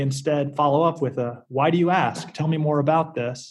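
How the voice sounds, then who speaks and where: A somewhat breathy man with an American accent, at a moderate pace with ordinary pitch variation. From US South, South Carolina. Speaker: startup lawyer. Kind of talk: interview.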